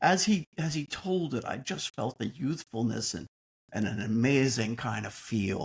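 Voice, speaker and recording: The recording is dry and close, with no echo, as a man talks at a medium pitch and a moderate pace. He sounds somewhat breathy, and his pitch swings very widely. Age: 70s. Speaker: podcast co-host. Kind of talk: casual chat.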